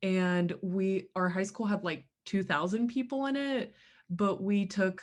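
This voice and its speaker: Against a quiet background, the speaker talks fairly slowly with an American accent and ordinary pitch variation. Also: woman. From Bulgaria, then Kentucky from childhood. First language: Bulgarian. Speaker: graduate student. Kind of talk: presentation. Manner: casual, many fillers.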